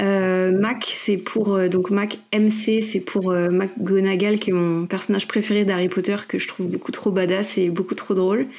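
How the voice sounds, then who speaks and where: The speech comes at a fairly slow pace with very even loudness. The intonation is monotone and flat. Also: woman, medium pitch for a woman. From Île-de-France (Paris region), France. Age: 30s. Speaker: fantasy author and product manager. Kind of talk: podcast interview. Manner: many hesitations (euh).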